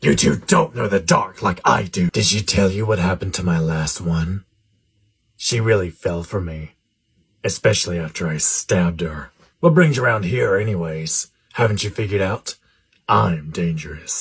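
A man speaks at a moderate pace in a very deep, low voice with a menacing, smug tone and ordinary pitch variation, on a very clean recording with a silent background.

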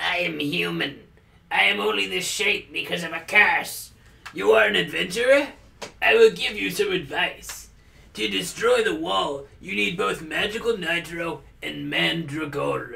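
A put-on character voice at a moderate pace. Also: man, fairly high pitch for a man.

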